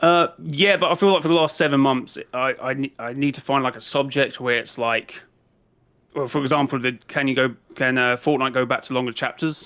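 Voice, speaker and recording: A man's fairly high, bright, sharp voice with an English accent and ordinary pitch variation. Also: fairly quick pace, very clean recording, silent background. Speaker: YouTuber and streamer. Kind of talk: interview. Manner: halting.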